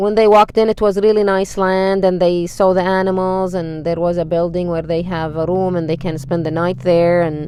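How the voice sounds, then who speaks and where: The delivery is monotone with flat intonation. It moves at a moderate pace with hardly any pauses. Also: woman, fairly low pitch for a woman. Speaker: storyteller. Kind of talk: casual storytelling. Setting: in a car.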